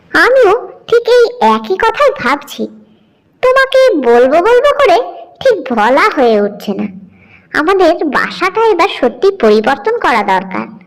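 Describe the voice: A woman speaks in a cartoonish character voice with an extremely high pitch. Her pitch swings very widely at a fairly slow pace.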